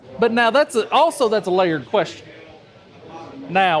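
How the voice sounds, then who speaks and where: Speaking at a moderate pace, a man uses a high voice in a Southern US accent. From US South. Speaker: cigar enthusiast, podcast co-host. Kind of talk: casual chat. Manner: animated.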